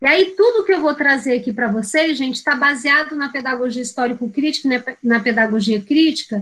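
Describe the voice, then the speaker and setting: Speaking with hardly any pauses, a woman uses a high pitch and ordinary pitch variation. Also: fairly quick pace. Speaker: teacher educator. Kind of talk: lecture.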